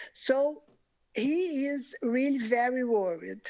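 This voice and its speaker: A woman with a non-native accent speaks in a high pitch with lively intonation, on a very clean recording with a silent background. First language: not English. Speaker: public commenter. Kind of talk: public comment. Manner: halting.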